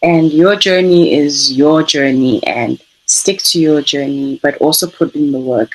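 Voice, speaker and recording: This woman has a very deep, low pitch and a calm tone. She talks at a fairly slow pace with ordinary pitch variation. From South Africa. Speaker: artist. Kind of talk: interview.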